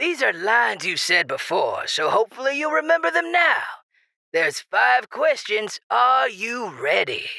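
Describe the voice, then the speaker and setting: A put-on character voice at a fairly high pitch. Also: moderate pace. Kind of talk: radio DJ patter. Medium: audio drama. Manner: breezy, teasing.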